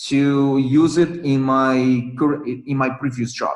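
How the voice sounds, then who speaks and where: Speaking at a very slow pace, a man has a non-native accent. His pitch is medium. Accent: non-native English, hesitant. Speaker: English learner sharing experience. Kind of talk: casual chat. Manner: halting, many fillers and repetitions.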